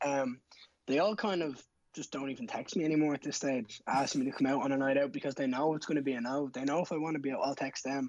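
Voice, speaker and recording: Talking at a very fast pace, a man with a Dublin accent uses a fairly high pitch and fairly even intonation. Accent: Dublin Irish. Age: 20s. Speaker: MMA fighter. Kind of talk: casual interview chat.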